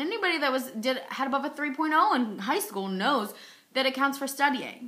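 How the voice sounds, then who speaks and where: A woman's high voice, raised and projected, swings very widely in pitch at a fairly quick pace with a bright, sharp tone. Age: 20s. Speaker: epilepsy advocate. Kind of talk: personal testimony vlog. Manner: frequent pauses, occasional stutter.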